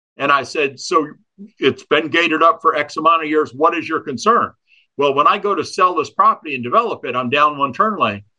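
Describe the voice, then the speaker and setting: A man talks at a fairly quick pace in a fairly high pitch. His tone is bright and sharp, with ordinary pitch variation. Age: 60s. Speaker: public utility board chair and local businessman. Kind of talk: interview. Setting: studio.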